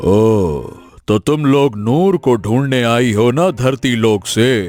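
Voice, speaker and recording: Over background music, a man does a cartoonish character voice at medium pitch, with lively intonation and a fairly slow pace. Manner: curt, secretive.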